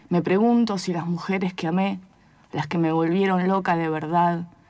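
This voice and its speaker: A woman speaks at a fairly slow pace and a fairly low pitch in a monotone, flat intonation. The recording is very clean, with a silent background. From outside Argentina. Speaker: poet. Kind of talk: poetry reading; interview.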